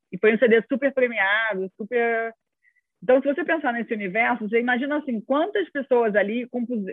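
A woman speaks with a Rio de Janeiro accent. Her pitch is fairly high, with ordinary variation. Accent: carioca (Rio de Janeiro). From Rio de Janeiro, Brazil. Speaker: music industry association executive. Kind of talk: interview conversation. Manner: halting, many repeated words and fillers.

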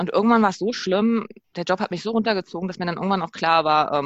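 A woman speaks at a medium pitch with ordinary pitch variation. She has an unremarkable speaking voice. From Berlin, Germany. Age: 30s. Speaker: interview guest sharing sabbatical experience. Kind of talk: casual interview. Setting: remote call.

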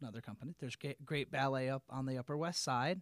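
Fairly quick speech from a man with a Midwestern American accent, medium in pitch, in a dry, close recording with no echo. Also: very clean recording, silent background. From Peoria, central Illinois. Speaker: arts promoter. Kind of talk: casual interview chat.

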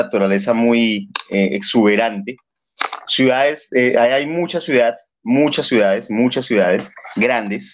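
Speaking at a fairly slow pace, a man keeps to a medium pitch. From Bogotá, Colombia. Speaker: guest from Colombia. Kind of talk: casual chat.

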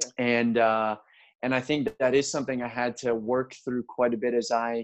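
Here is a man with a normal speaking voice and an American accent, talking at a fairly quick pace. His pitch is medium, his intonation fairly even, and the background quiet. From US, Baltimore, Maryland. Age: 30s. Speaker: pastor. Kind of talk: casual chat.

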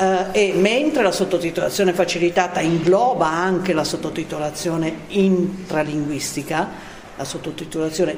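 Audible room echo and noticeable background noise surround a woman's voice. She talks at a moderate pace with a fairly low pitch and ordinary pitch variation. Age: 70s. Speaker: accessibility association head. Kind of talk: interview. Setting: cinema venue.

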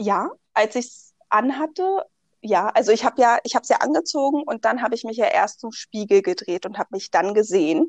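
In a dry, close sound with no echo, a fairly high-pitched woman talks at a fairly quick pace with very wide pitch swings and big swings in loudness. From Berlin, Germany. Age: 20s. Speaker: bride, insurance clerk. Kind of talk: interview.

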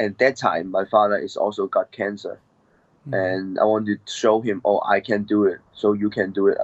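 A man speaks with a Cantonese accent. His pace is moderate. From Hong Kong. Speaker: MMA fighter. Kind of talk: interview. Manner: halting.

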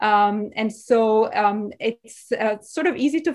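On a very clean recording with a silent background, a woman speaks with a Portuguese accent. Her pitch sits fairly high. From Brazil, Sao Paulo. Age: 40s. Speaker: architecture professor. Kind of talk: lecture.

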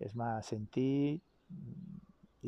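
A man speaks with ordinary pitch variation. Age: 40s. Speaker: travel vlogger. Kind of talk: personal vlog monologue. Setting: outdoors by a river. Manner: halting, with many repetitions.

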